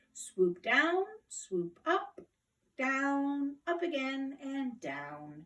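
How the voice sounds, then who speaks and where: A woman puts on a character voice, high-pitched with very wide pitch swings, and speaks very slowly. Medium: read story.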